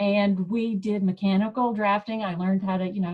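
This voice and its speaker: In a slight Southern accent, a woman talks at a medium pitch with monotone, flat intonation and a somewhat breathy sound. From US South, Mississippi. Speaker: professor. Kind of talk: presentation. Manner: casual, halting.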